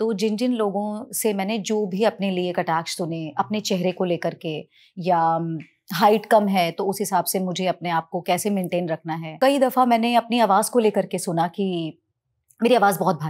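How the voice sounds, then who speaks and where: On a very clean recording with a silent background, a woman speaks at a medium pitch in an unremarkable speaking voice with ordinary pitch variation. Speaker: television actress and singer. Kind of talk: interview conversation.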